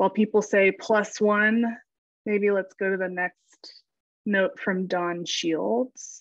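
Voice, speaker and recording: A woman speaks at a very slow pace with a medium pitch and ordinary pitch variation. The background is quiet. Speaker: government technology policy advisor. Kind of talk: webinar discussion. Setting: video call.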